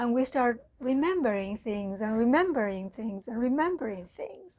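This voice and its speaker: A woman speaks with a Spanish accent. Her high voice has lively intonation. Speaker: mindfulness teacher. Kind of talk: talk. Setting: online live talk.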